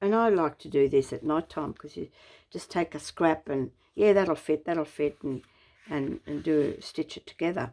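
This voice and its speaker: A woman with an Australian accent, very deep and low in pitch, dark and mellow, at a moderate pace with ordinary pitch variation and big swings in loudness. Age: 70s. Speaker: craft YouTuber. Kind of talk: craft show-and-tell tutorial. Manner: relaxed, casual with many fillers.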